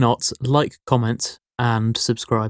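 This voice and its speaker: With a dry, close sound and no echo, this very clean recording has a silent background. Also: man. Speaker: podcast co-host. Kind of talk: casual chat. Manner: monotone.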